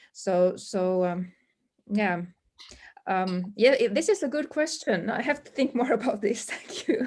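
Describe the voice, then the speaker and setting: The speaker has a Swedish accent, very wide pitch swings, and a fairly slow pace. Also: woman, fairly high pitch for a woman. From Finland, Swedish-speaking community. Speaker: language teacher. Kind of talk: webinar panel discussion. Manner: halting, many fillers.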